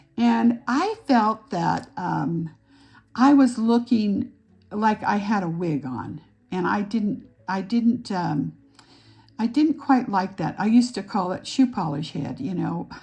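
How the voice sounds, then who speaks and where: Very slow, lively intonation from a woman at medium pitch, dark and mellow with vocal fry, in a quiet background. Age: 70s. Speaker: aesthetician and makeup artist. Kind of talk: tutorial. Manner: halting.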